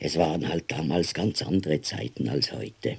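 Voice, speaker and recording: A man talks with a very deep, low pitch and audible vocal fry. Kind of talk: audiobook reading of a novella.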